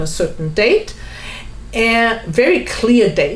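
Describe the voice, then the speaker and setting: Audible room echo and noticeable background noise surround a speaker with a German accent talking at a very slow pace. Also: woman. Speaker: home seller. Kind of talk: testimony.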